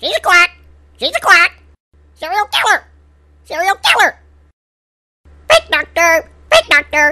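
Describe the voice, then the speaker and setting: An extremely high put-on character voice moves at a moderate pace. It leaves long, frequent pauses. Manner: squawking, repetitive shouting.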